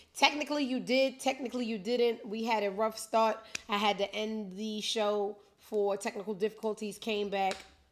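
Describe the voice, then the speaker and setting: A woman speaks with an animated tone at a moderate pace. Her pitch is fairly high. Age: 50s. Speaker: web show host. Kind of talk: casual chat.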